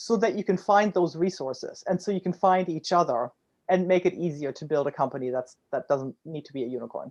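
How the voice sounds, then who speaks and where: A woman's fairly low voice, very fast, with lively intonation over a quiet background. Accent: German. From Germany. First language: German. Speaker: startup founder. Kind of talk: interview.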